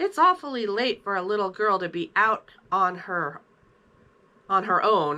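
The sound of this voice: A raspy, put-on character voice moves at a moderate pace with lively intonation and long, frequent pauses. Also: woman, medium pitch for a woman.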